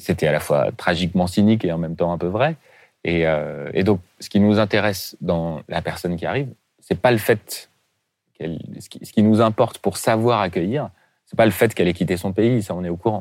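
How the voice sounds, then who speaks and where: A man at a fairly low pitch and moderate pace, with ordinary pitch variation, big swings in loudness, and long, frequent pauses, on a very clean recording with a silent background. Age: 40s. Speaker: head of a refugee integration charity. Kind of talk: interview. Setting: studio. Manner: halting.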